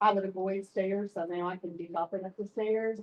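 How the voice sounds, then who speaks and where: Here a woman talks in a normal speaking voice at a medium pitch and a moderate pace. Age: 60s. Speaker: customer testimonial speaker. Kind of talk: testimony.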